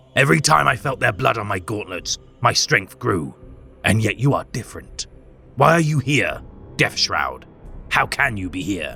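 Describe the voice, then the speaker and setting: A man puts on a growling character voice at medium pitch, with very wide pitch swings and a moderate pace. He leaves long, frequent pauses over music in the background. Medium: read story. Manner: cold, menacing.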